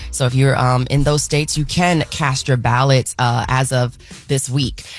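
A woman speaks at a fairly quick pace. The sound is dry with no echo, with faint music in the background. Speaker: radio news host. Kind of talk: news reading. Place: studio.

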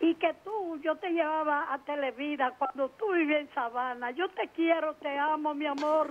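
A woman with a high pitch speaks at a fairly slow pace. Light background noise can be heard. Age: 80s+. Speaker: caller. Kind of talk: phone-in call. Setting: phone call. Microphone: phone line.

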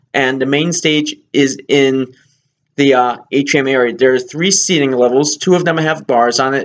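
A man talks at a moderate pace, his pitch moving in an ordinary way. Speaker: cruise reviewer. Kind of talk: casual vlog chat. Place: home room. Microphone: webcam.

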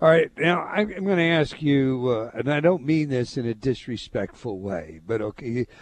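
At a fairly slow pace, a man speaks at a medium pitch with very wide pitch swings. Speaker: talk radio host. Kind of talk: radio interview question.

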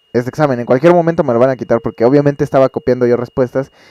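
A man's fairly high voice, dark and mellow in tone, with a Mexican accent and a dry, close sound with no echo. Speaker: streamer. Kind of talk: casual vlog.

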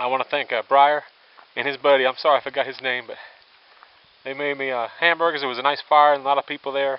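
A man at a very fast pace, monotone with flat intonation, in a dry sound with no echo. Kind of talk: casual vlog chat. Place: forest. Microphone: phone near.

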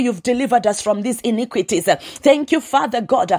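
A woman is speaking. Her pace is fairly quick. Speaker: prayer leader. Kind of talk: fervent prayer. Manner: earnest, pleading; rhythmic, repetitive.

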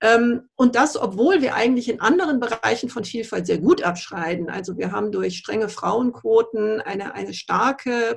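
The speaker talks at a fairly slow pace. The background is quiet. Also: woman. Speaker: politician. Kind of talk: panel discussion. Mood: calm, measured. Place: office. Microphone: video call.

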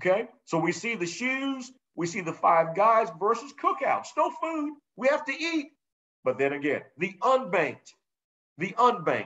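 Over a quiet background, a man with an extremely high voice for a man speaks at a fairly slow pace with very wide pitch swings. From South Carolina, North Charleston; South Carolina. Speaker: business instructor. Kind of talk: webinar presentation. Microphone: video call.

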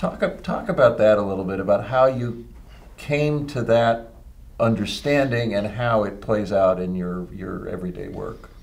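A man talks at a moderate pace with lively intonation. His loudness swings widely. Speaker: magazine publisher and interviewer. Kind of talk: interview. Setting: office. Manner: halting. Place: office.

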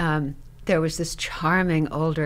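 Speaking at a moderate pace, a woman with an American accent uses an ordinary speaking voice with a fairly low pitch. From US West, Reno, Nevada. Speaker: retired theater professor and actress. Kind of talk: interview storytelling. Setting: studio.

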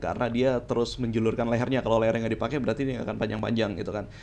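A man's very fast, monotone delivery at a medium pitch with flat intonation, plus audible room echo. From Indonesia, Jakarta. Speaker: teacher. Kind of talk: lecture. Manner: casual, conversational.

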